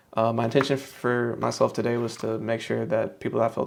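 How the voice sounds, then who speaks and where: Very fast speech in an American accent comes through over noticeable background noise. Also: man. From US South, Shreveport, Louisiana. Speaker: author and self-help vlogger. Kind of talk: personal reflection monologue. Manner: halting, with frequent fillers and repetitions.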